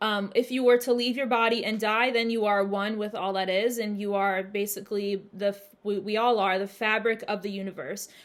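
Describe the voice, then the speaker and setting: At a fairly quick pace, a woman talks in a normal speaking voice with a fairly high pitch. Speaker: spiritual channel host. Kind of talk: monologue Q&A video. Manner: casual, filler-heavy.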